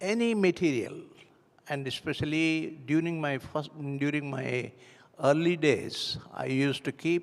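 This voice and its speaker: A fairly high-pitched man with an Indian accent, at a fairly slow pace with ordinary pitch variation. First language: Hindi. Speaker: church member giving testimony. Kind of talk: testimony. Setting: church. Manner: halting.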